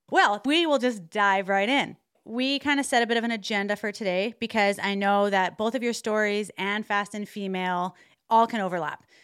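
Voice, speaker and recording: A woman with a Canadian accent has a plain, everyday voice at medium pitch with ordinary pitch variation. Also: moderate pace. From Alberta, Canada. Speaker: podcast co-host. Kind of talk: interview conversation. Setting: video call.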